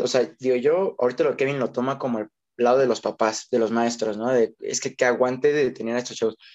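An unremarkable speaking voice from a man at medium pitch and moderate pace. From Mexico. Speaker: teacher, podcast co-host. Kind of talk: casual chat.

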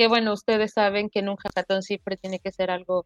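A normal speaking voice moves at a moderate pace in a dry, close sound with no echo. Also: woman. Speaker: web3 developer. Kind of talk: casual interview. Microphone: unstable internet connection.

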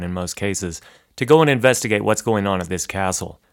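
Speaking at a very fast pace, the man is captured in a very clean recording with a silent background. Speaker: podcast host. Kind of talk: true-crime narration. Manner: measured, storytelling, matter-of-fact; conversational, wry.

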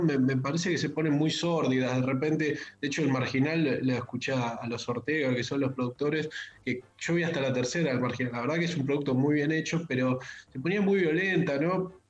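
Noticeable background noise and audible room echo around a fairly high male voice with ordinary pitch variation. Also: very even loudness. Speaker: pop culture columnist. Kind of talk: casual radio chat.

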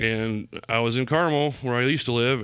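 In a very clean recording with a silent background, a man with an American accent talks at a fairly quick pace in an unremarkable speaking voice. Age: 40s. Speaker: business owner. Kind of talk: casual chat.

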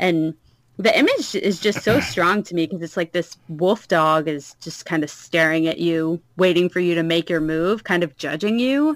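With an American accent and an unremarkable speaking voice, the speaker goes at a moderate pace with ordinary pitch variation in a dry, close sound with no echo. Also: woman, fairly low pitch for a woman. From US South. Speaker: podcast host. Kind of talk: casual chat.

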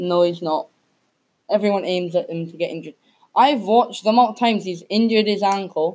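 A woman speaks at a medium pitch and a fairly quick pace. Her pitch varies in an ordinary way, and her loudness swings widely. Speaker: podcast host. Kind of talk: casual chat. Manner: halting, filler-heavy.

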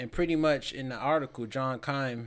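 A man with an ordinary speaking voice at medium pitch, fairly slow and fairly even in intonation, in a very clean recording with a silent background. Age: 20s. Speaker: sports podcast host. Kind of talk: casual chat.

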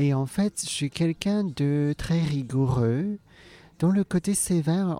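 Speaking at a very slow pace, a woman has a dark, mellow tone. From Hong Kong, then Alsace. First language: Cantonese (speaking French). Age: 40s. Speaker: comedian. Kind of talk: interview conversation. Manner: hesitant, many fillers and repetitions.

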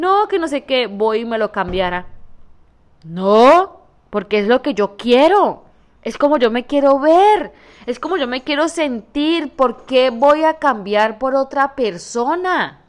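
This woman talks at a fairly slow pace in a high, animated voice whose pitch swings very widely. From Colombia, Santander. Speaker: podcaster and entrepreneur. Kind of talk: motivational monologue.

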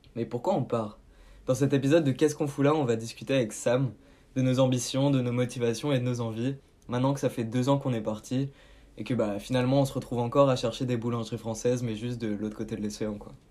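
Very fast male speech with fairly even intonation, on a very clean recording with a silent background. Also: medium pitch for a man. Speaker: podcast host. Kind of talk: scripted narration; casual chat.

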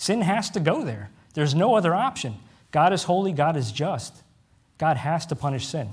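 A fairly high-pitched man speaks at a moderate pace with very wide pitch swings and vocal fry. There is audible room echo. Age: 30s. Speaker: preacher. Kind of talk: sermon. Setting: church with congregation.

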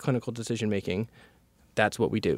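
A man with an American accent talks at a very fast pace. The recording is very clean, with a silent background. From US South, North Carolina. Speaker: machine learning researcher, assistant professor. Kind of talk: interview.

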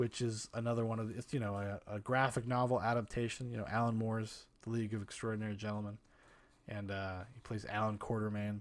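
A man's fairly low voice at a very fast pace, monotone and flat, on a very clean recording with a silent background. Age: 30s. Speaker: podcast host. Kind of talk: solo movie podcast monologue. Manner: casual, rambling with filler words.

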